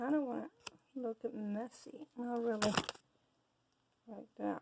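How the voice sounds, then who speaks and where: A woman mumbling at a fairly slow pace over light background noise. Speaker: soap maker. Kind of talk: casual tutorial talk to camera. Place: workshop. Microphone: camera far.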